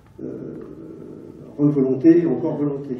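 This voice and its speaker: There is audible room echo. The speaker is a man. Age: 70s. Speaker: audience member, patient. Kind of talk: audience question at conference. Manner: halting, hesitant.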